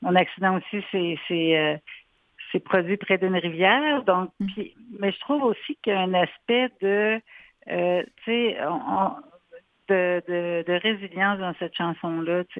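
A woman speaks at medium pitch with ordinary pitch variation. Her pace is very slow, broken by long, frequent pauses. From Quebec City. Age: 40s. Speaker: psychoeducator. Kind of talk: radio interview.

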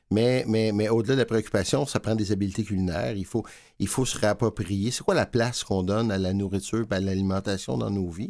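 A man with a fairly low pitch has a normal speaking voice with ordinary pitch variation. The recording is very clean and the background silent. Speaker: food bank director. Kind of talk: interview. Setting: studio.

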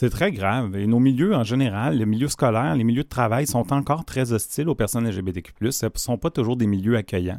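With a normal speaking voice, a man speaks at medium pitch with ordinary pitch variation, very even loudness and hardly any pauses, in a dry, close sound with no echo on a very clean recording with a silent background. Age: 40s. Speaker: organization director. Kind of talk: radio interview.

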